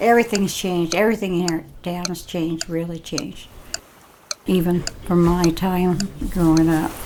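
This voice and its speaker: A woman speaks at a moderate pace with a fairly low pitch. Her intonation stays fairly even, and background noise is noticeable. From Vermont, East Hardwick. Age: 80s+. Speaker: local resident interviewee. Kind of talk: interview reminiscence.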